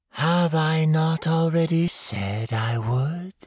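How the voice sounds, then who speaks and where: A man speaks in a put-on character voice. His pace is very slow. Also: fairly high pitch for a man, ordinary pitch variation. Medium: read story. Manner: emotionless, detached.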